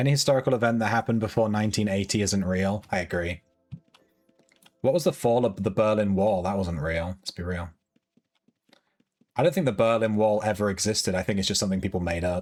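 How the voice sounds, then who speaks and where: Over music in the background, a man with a British accent talks at a very fast pace in a fairly low pitch. His pitch variation is ordinary, and he leaves long, frequent pauses. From UK. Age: 30s. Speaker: video game streamer. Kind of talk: casual chat. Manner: animated.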